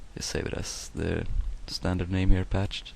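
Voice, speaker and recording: Audible room echo around a man's dark, mellow tone at a fairly slow pace. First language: not English. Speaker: software tutorial maker. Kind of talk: tutorial. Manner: hesitant, many fillers.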